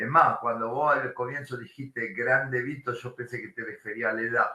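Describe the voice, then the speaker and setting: Speaking at a moderate pace, a man keeps a medium pitch and fairly even intonation while his loudness swings widely. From Italy. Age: 60s. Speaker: sports journalist. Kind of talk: lecture.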